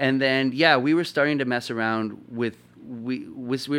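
Over a quiet background, a man with a Canadian accent talks at a moderate pace in an unremarkable speaking voice with fairly even intonation. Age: 30s. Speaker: DJ and event promoter. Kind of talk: casual chat.

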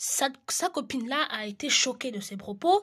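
A woman's high voice with very wide pitch swings at a fairly slow pace. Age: 20s. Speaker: solo podcaster. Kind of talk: solo monologue podcast. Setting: at home in the evening. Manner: hesitant with frequent fillers; occasional stammering.

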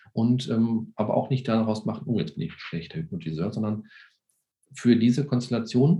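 A man speaks at a moderate pace, somewhat breathy. His tone is dark and mellow. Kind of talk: interview. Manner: hesitant with many fillers.

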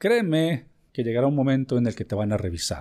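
With a Mexican accent and a warm tone, a man with a medium pitch speaks at a moderate pace with lively intonation on a very clean recording with a silent background. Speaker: business podcast host and consultant. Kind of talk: educational monologue. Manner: warm, conversational.

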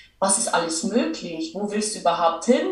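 A woman talks with a Bavarian accent and lively intonation. The room echo is audible, and background noise is noticeable. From Lower Bavaria, Germany. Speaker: entrepreneur and business coach. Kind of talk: casual interview.

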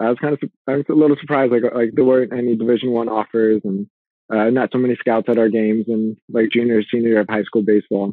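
A man talks in a Californian accent. His intonation stays fairly even. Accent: Californian American. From US West Coast, Los Angeles. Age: 30s. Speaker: fitness and nutrition coach. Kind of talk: casual interview.

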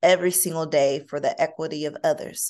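A woman with an American accent talks at a moderate pace against a quiet background, her pitch fairly low and her intonation fairly even. It is a plain, everyday voice. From Kentucky, rural US South. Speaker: nonprofit executive director. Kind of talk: interview.

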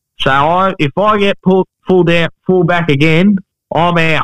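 Here is a man with a high voice and an Australian accent. He speaks at a fairly slow pace, with fairly even intonation and very even loudness. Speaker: new co-host, footballer. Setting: phone call.

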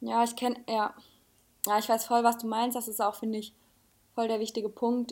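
In a very clean recording with a silent background, a woman with a fairly high pitch speaks at a moderate pace in a monotone, flat intonation, pausing long and often. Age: 20s. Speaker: junior art director. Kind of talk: casual chat.

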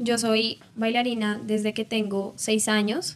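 A woman talks in a fairly high register as noticeable noise runs in the background. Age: 20s. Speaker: dancer and entrepreneur. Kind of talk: interview.

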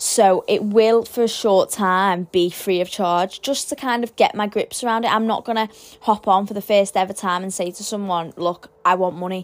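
This speaker has a British accent and talks at a moderate pace with hardly any pauses. The intonation stays fairly even on a very clean recording with a silent background. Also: woman, medium pitch for a woman. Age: young. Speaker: spiritual podcast host. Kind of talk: solo podcast monologue. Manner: casual, stumbling.

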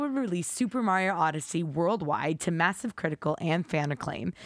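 The delivery comes at a moderate pace with lively intonation, on a very clean recording with a silent background. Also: woman. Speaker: video game podcast co-host. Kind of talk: reading aloud. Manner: put-on announcer voice.

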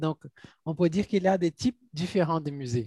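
A man's somewhat breathy voice with a dark, mellow tone and ordinary pitch variation, in a dry, close sound with no echo. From Brazil, Minas Gerais. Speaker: podcast host. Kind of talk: interview.

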